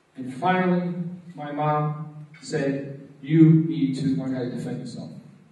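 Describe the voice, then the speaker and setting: Noticeable background noise accompanies a man speaking with an American accent. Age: 40s. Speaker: martial arts teacher and anti-bullying speaker. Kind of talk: motivational presentation. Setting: stage with audience.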